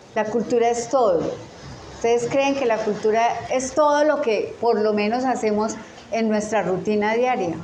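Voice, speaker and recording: A woman's fairly high voice at a moderate pace, with ordinary pitch variation, very even loudness, audible room echo and noticeable background noise. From Colombia. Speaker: teacher. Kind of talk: lecture.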